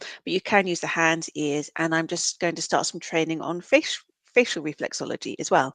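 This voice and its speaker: The speech comes in a British accent at a moderate pace, with ordinary pitch variation. The sound is dry and close with no echo, against a quiet background. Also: woman, fairly low pitch for a woman. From UK. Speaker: counsellor and reflexologist. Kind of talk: podcast interview.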